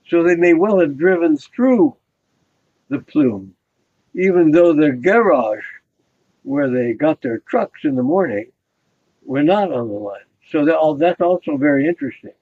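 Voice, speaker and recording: Pausing long and often, a man talks at a fairly slow pace in a fairly high pitch with very wide pitch swings. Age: 90s. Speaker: scientist, molecular biologist. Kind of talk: interview recollection.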